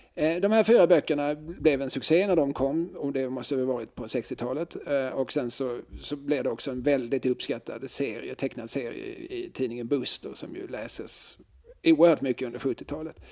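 A man with a fairly high voice for his sex and a dark, mellow tone. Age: 40s. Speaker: podcast co-host. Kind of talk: casual chat.

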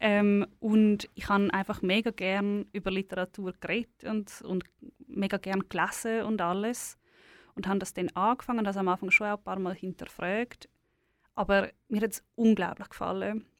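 Recorded very cleanly with a silent background and a dry, close sound with no echo, a woman speaks in a Swiss accent at a moderate pace, her medium-pitched voice monotone and flat. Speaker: author. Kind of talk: interview.

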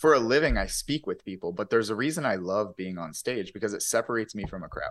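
With an American accent, a man talks at a very fast pace and with lively intonation against a quiet background. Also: medium pitch for a man. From US, poor urban neighborhood. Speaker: motivational speaker and author. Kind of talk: casual interview. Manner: occasional stutter.

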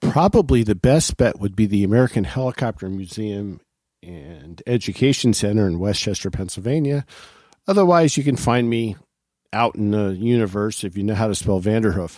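Lively intonation and a dark, mellow tone move at a moderate pace through a very clean recording with a silent background. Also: man, fairly low pitch for a man. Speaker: aviation historian. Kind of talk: casual chat.

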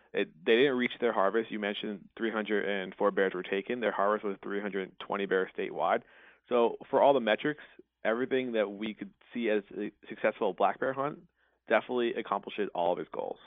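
At a moderate pace, a man talks in a normal speaking voice, fairly low-pitched with fairly even intonation. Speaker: conservation policy advocate. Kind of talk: interview.

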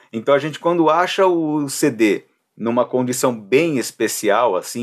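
Pitched fairly high for a man, this speaker goes at a fairly slow pace. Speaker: podcast host. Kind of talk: casual chat.

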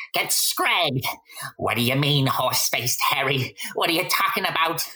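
At a moderate pace, a put-on character voice comes out raspy at a middle pitch. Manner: nervous.

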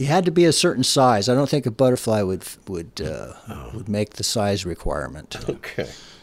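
Speaking at a moderate pace with hardly any pauses, a man uses a fairly low pitch with vocal fry and very wide pitch swings. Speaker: bassist. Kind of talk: casual interview chat.

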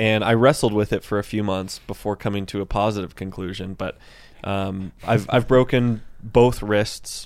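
A normal speaking voice with an American accent, a moderate pace and fairly even intonation. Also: man. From Central Texas. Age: 20s. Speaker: professional mountain bike racer. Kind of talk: casual chat. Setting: studio.

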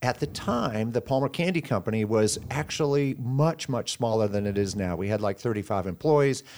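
With hardly any pauses, a man in an American accent speaks at a moderate pace and a medium pitch with lively intonation. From Sioux City area, Iowa, US Midwest. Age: 60s. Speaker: candy company executive. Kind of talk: radio interview.

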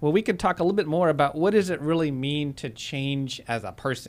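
Lively intonation and a fairly quick pace mark the man's normal speaking voice. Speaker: radio co-host. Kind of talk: radio talk show. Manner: casual, filler-heavy.

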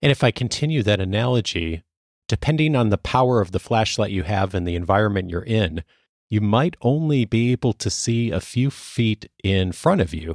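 In a dry, close sound with no echo, a man with a fairly low pitch and an unremarkable speaking voice talks in a General American accent. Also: lively intonation, moderate pace, very clean recording, silent background. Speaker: podcast host. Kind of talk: interview conversation.

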